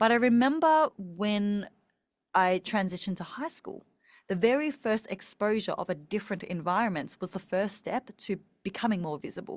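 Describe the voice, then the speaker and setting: A woman with an Australian accent talks at a moderate pace and medium pitch, with lively intonation. The very clean recording has a silent background and a dry, close sound with no echo. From Australia, Melbourne. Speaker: speaking coach. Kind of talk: podcast interview.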